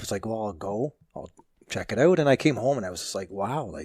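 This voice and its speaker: Talking at a very fast pace, a man with a slight Canadian accent uses lively intonation. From southwestern Ontario, Canada (London area). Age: 50s. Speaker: fire captain and magazine editor. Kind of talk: interview podcast.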